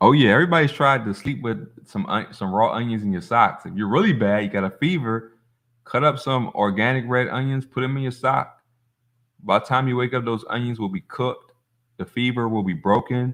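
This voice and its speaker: This man talks at a fairly quick pace with a medium pitch. He has a plain, everyday voice. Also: ordinary pitch variation. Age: 40s. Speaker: holistic health livestream host. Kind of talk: casual livestream chat reading comments. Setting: livestream on phone. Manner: casual, filler-heavy.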